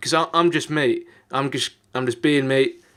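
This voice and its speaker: A British accent at a fairly quick pace on a very clean recording with a silent background. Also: man. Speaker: YouTuber. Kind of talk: personal vlog confession. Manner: halting; unscripted.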